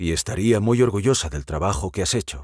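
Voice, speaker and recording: A man puts on a growling character voice with a fairly low pitch. He moves at a fairly quick pace. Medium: read story.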